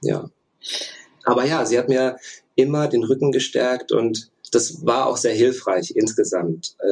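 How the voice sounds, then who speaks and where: With a medium pitch and ordinary pitch variation, a man moves at a fairly slow pace, leaving long, frequent pauses. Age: 30s. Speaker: former elite canoeist, engineering student. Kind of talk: interview. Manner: hesitant, many filler sounds.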